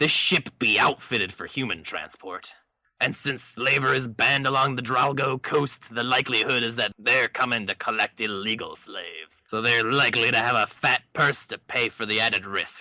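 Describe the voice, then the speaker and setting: This is a put-on character voice. It moves at a moderate pace with hardly any pauses. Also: man, medium pitch for a man. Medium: read story. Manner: gruff, commanding.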